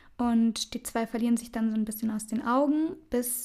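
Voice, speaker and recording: A woman's somewhat breathy, fairly high voice at a fairly quick pace, on a very clean recording with a silent background. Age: 20s. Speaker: podcast co-host, student. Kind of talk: casual chat. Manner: laughing often.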